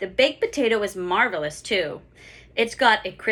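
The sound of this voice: Reading in an unforced voice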